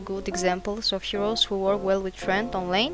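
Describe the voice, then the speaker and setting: A woman at a medium pitch and moderate pace, with music in the background. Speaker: gamer. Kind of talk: gameplay commentary voiceover.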